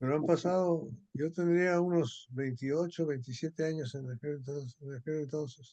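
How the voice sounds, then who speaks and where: Pitched fairly high, a man speaks with a dark, mellow tone. His pace is moderate and his intonation fairly even. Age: 80s+. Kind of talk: casual chat.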